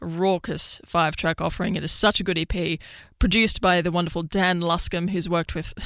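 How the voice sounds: A woman talks at a fairly quick pace in a fairly low voice, her tone clear, smooth and fairly bright, her intonation fairly even.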